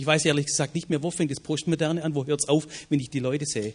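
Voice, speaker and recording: A man speaks in a fairly high voice. His delivery is somewhat breathy. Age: 40s. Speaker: evangelism ministry leader, former pastor. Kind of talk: panel discussion. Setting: stage with audience.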